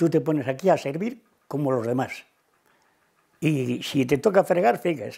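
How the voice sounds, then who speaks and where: Against a quiet background, a man speaks in a dark, mellow tone with vocal fry. His pitch swings very widely at a moderate pace. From Cantabria, Spain. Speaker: retired cattle farmer and former waiter; interviewee. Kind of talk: oral history interview answer. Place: home room. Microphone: lapel.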